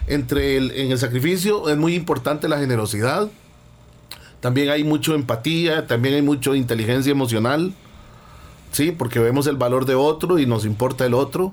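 An ordinary speaking voice from a man, fairly high in pitch with ordinary pitch variation, at a moderate pace and very even loudness. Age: 50s. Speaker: values and personal development speaker. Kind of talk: radio talk, motivational lecture.

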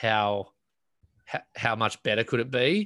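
A man in an Australian accent speaks at a moderate pace. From Australia (New South Wales coast). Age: 30s. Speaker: professional bodyboarder. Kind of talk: casual interview chat. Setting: remote call.

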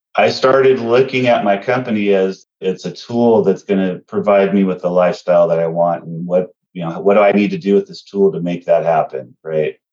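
Moving at a fairly quick pace, a man with an ordinary speaking voice talks at a fairly low pitch with ordinary pitch variation. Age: 50s. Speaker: remodeling contractor and company owner. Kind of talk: casual interview.

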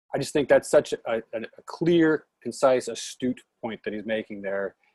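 Delivered at a moderate pace, a normal speaking voice comes through with a dry, close sound with no echo. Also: man. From Oregon, US. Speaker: podcast host. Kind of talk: casual chat.

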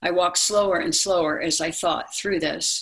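This is a normal speaking voice with an American accent. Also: woman. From Maryland, US. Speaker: motivational speaker and narrator. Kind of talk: personal storytelling and narration.

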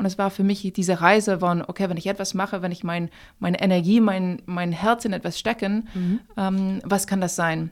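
In a flat monotone, a woman speaks at a moderate pace and medium pitch on a very clean recording with a silent background. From France, raised in many countries. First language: French (speaking German). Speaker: company founder. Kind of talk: interview. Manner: halting.

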